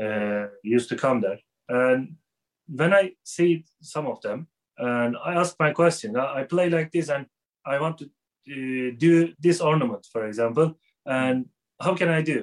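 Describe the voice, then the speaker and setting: The recording is dry and close with no echo as a man speaks in a fairly high pitch at a fairly slow pace. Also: ordinary pitch variation. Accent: Turkish. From Turkey, Istanbul. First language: Turkish. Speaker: music teacher. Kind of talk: interview. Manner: halting.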